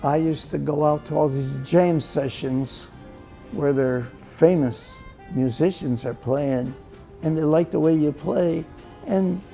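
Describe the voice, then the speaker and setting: With music in the background, a man with an American accent speaks at a fairly slow pace and a fairly high pitch, with ordinary pitch variation. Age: 80s+. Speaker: World War II veteran, big band drummer. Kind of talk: interview answer. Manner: sharp recall, wide smile, hint of mischief.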